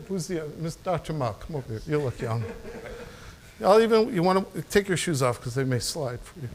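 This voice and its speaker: Noticeable background noise sits behind a man talking at a fairly quick pace. His fairly high pitch makes very wide swings. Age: 60s. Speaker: sports medicine chiropractor and presenter. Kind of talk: live demonstration at a seminar. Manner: casual, halting with repetitions.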